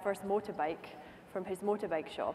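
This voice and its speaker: Music plays in the background as a woman talks at medium pitch, her pitch moving in an ordinary way. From Scotland. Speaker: racing driver. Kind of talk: conference keynote speech.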